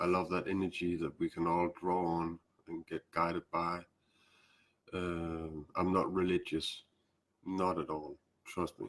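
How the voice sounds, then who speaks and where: A man with a Danish accent speaks in a very deep, low voice at a fairly slow pace, his intonation monotone and flat, with long, frequent pauses. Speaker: spiritual teacher. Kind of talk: live stream talk. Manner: halting.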